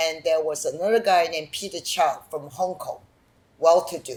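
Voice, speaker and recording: A woman speaks at a moderate pace, with noticeable background noise in the recording. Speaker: documentary filmmaker. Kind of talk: interview. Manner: animated.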